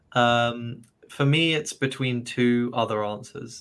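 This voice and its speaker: With a southern English accent, a man at a medium pitch speaks very slowly and with fairly even intonation. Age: 20s. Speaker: university graduate, English coach. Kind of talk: casual interview. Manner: hesitant, many fillers.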